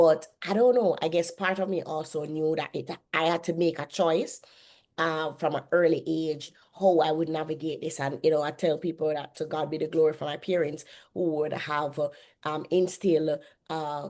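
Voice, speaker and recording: A woman with a Jamaican accent and very deep, low pitch against a quiet background. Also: fairly even intonation, moderate pace. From Jamaica, Kingston. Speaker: author and publishing CEO. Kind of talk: podcast interview. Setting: podcast interview.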